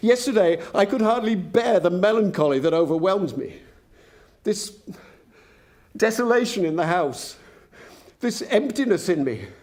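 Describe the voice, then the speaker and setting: Using lively intonation, a man talks at a fairly slow pace. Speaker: actor. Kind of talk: dramatic reading of a letter.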